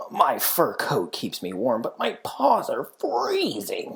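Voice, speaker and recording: A growling put-on character voice moves at a fairly slow pace. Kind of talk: bedtime story. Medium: read story.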